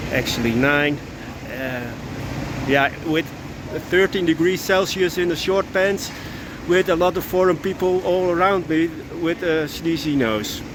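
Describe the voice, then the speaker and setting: Speaking with a Dutch accent at a moderate pace, a man uses ordinary pitch variation against noticeable background noise. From Netherlands. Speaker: vlogger. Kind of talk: casual vlog monologue. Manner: halting.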